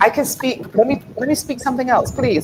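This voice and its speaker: A woman speaks in a high-pitched voice with an animated tone. Noticeable background noise runs behind her. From New York, with Barbadian roots. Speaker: writer and creative consultant. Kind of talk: interview.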